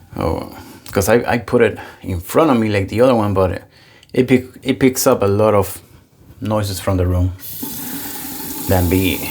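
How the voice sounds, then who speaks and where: A man with a fairly low pitch talks at a moderate pace with ordinary pitch variation and long, frequent pauses, against noticeable background noise. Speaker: wet shaving youtuber. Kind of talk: casual product review. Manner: loud.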